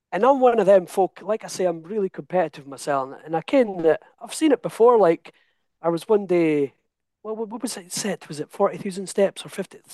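Over a quiet background, a man with a Scottish accent speaks at a high pitch in a dark, mellow tone with lively intonation and big swings in loudness, the sound dry and close with no echo. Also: moderate pace. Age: 30s. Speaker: coaching client. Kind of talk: interview. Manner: animated.

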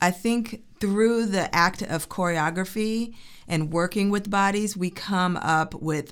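A woman with an ordinary speaking voice, medium in pitch, with an American accent, at a fairly slow pace. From Chicago suburbs, US Midwest. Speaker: choreographer and dancer. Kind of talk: interview.

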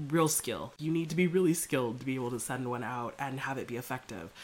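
The woman's voice is very deep and low, with lively intonation. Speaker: body liberation coach, podcast host. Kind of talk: solo monologue rant. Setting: home recording, fan and open window. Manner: casual, conversational.

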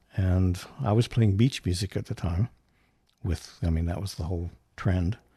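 With an American accent, a man speaks at a moderate pace in a very deep, low pitch, his dark, mellow voice somewhat breathy, with ordinary pitch variation and long, frequent pauses. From North Central West Virginia. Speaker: set designer. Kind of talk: casual chat.

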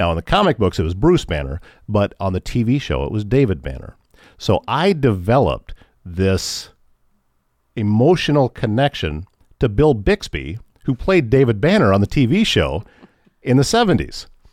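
In a Midwestern American accent, the voice moves at a moderate pace with very wide pitch swings and long, frequent pauses, recorded with a dry, close sound and no echo. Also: man, medium pitch for a man, very clean recording, silent background. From Northwest Iowa. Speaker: radio station manager and morning show host. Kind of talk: personal testimony in interview. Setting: radio studio.

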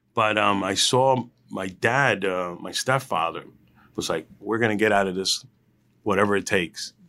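Fairly low-pitched male voice, bright and sharp in tone, with ordinary pitch variation and moderate pace, on a very clean recording with a silent background. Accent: New Jersey. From New Jersey, Union County (Hillside, Newark). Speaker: food truck and restaurant entrepreneur. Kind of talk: interview. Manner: casual, with many filler words.

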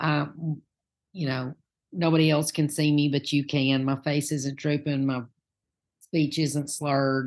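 In a Southern US accent, a woman speaks with a very deep, low pitch at a moderate pace. Her intonation is monotone and flat, and the background is quiet. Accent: Southern US, noticeable. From Knoxville, Tennessee. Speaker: minister candidate, Sunday school teacher. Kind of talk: casual interview about faith journey.

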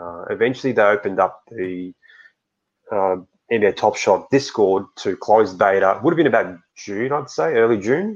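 Talking at a moderate pace, a man speaks with an Australian accent. His pitch variation is ordinary. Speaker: NFT collector and community moderator. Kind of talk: podcast interview.

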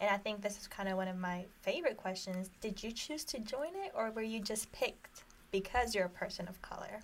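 Speaking at a fairly quick pace with hardly any pauses, a woman with an American accent has a plain, everyday voice at a medium pitch with ordinary variation. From Jordan, then US from 2009. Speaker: college student. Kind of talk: casual chat.

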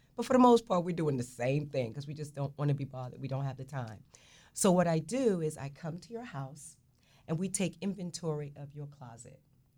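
On a very clean recording, silent background, a woman with a New Jersey accent speaks at a fairly quick pace, her very deep, low pitch and dark, mellow tone carrying lively intonation and big swings in loudness. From Newark, New Jersey. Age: 60s. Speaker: fashion stylist. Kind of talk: radio talk show conversation.

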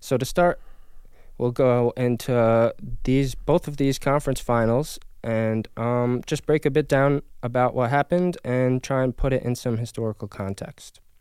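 Moderate in pace, a man speaks in a normal speaking voice. His pitch is medium and his intonation fairly even. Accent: American. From upstate New York, near Albany. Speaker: sports podcast host. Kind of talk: casual sports chat.

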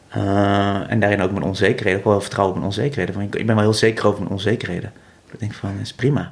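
Talking at a very fast pace, a man uses a fairly low pitch and a monotone, flat intonation. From Netherlands, North Brabant (Vught). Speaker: visual artist and magician. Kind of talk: interview. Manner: halting, many fillers and repetitions.

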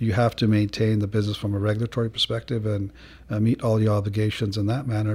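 Speaking at a fairly quick pace, a man with a fairly low pitch sounds somewhat breathy, with monotone, flat intonation. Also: very clean recording, silent background. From Africa (born in England). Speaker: airport director. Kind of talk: interview. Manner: halting, many fillers and repeats.

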